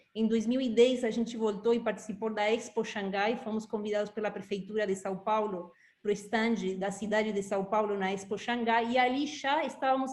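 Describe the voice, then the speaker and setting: Here a woman talks at a moderate pace. Her pitch is fairly high. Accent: Uruguayan. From Uruguay. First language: Spanish (speaking Portuguese). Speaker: institute director. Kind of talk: interview.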